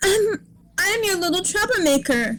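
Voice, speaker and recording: A woman puts on a character voice. Her pitch is extremely high and her pace moderate. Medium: read story. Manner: playful, impish.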